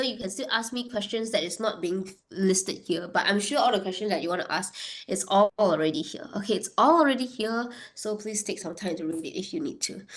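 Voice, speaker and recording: A woman with a fairly high pitch, amid noticeable background noise. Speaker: insurance product trainer. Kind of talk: online training session. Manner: hesitant, many fillers.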